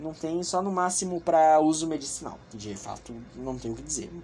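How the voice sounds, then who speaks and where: Lively intonation colors this man's speech. He keeps a moderate pace. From Brazil, São Paulo. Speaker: podcast host. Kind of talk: casual political commentary. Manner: animated.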